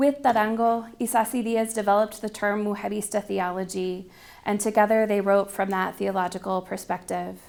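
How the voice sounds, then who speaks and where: A woman's medium-pitched voice proceeds at a moderate pace. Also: fairly even intonation. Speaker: theology researcher. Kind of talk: lecture. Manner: halting.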